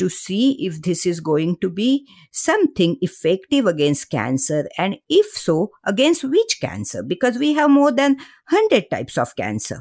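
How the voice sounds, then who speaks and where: A woman with vocal fry speaks at medium pitch with very wide pitch swings on a very clean recording with a silent background. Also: moderate pace. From India, Mumbai. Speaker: cancer researcher and author. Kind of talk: interview.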